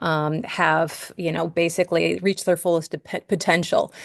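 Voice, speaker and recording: Against a quiet background, a woman in a New York accent speaks with fairly even intonation. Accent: New York American. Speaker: cosmetics trainer. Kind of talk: webinar presentation. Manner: hesitant with many fillers.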